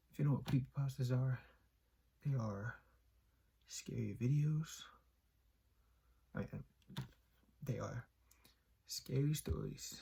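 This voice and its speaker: The pace is fairly slow. Long pauses come often. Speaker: YouTube creepypasta reader. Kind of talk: casual talk to camera.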